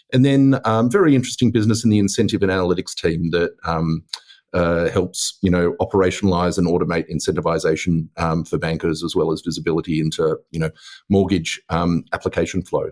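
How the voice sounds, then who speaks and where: In an Australian accent, a man speaks at a very fast pace. His pitch swings very widely. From Australia, Melbourne. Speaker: tech executive. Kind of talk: podcast interview. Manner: hesitant, many fillers.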